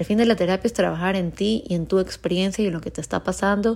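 A woman talks at a fairly quick pace with a medium pitch and a dark, mellow tone. The recording is very clean, and the background is silent. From Ecuador (Cuenca, moved to Guayaquil at 15). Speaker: psychologist, podcast host. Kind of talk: personal storytelling monologue. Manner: casual, with fillers and self-interruptions.

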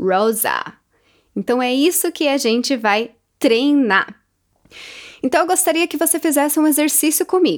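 A high-pitched female voice, swinging very widely in pitch. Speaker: English teacher podcaster. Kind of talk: tutorial. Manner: slow, repeated word drills.

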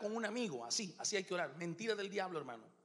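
A very fast-talking man with a bright, sharp tone and ordinary pitch variation. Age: 40s. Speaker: pastor. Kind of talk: sermon.

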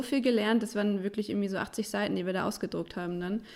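A woman talks in a medium pitch with monotone, flat intonation. The recording is very clean, with a silent background. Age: 20s. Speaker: design agency co-founder. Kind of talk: interview.

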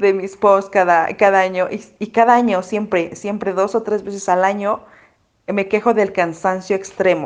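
A woman with a Mexico City accent, medium pitch and moderate pace. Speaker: mom influencer. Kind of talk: casual chat.

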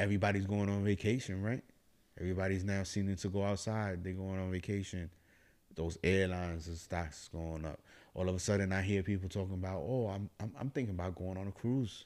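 Speaking at a fairly quick pace in an animated tone, a man with a very deep, low pitch comes through on a very clean recording with a silent background. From New York (Bronx), Dominican family. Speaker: podcast co-host. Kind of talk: casual chat.

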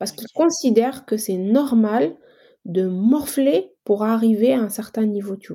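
A dark, mellow, somewhat breathy voice at a fairly slow pace, on a very clean recording with a silent background. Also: woman. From Algeria. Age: 40s. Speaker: engineer and entrepreneur. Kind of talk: casual interview.

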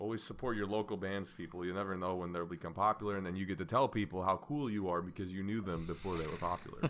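Speaking at a very fast pace with hardly any pauses, a man with a very deep, low voice keeps fairly even intonation. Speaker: podcast co-host. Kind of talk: casual banter, joking. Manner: talkative, joking.

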